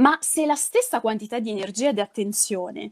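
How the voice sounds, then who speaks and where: A woman speaks at a moderate pace in a fairly high pitch, with ordinary pitch variation and a quiet background. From Calabria, southern Italy. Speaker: public speaking trainer; public speaking trainer, interviewee. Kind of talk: interview. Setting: online live stream. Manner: halting, many fillers. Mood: warm, engaged, smiling. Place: home room.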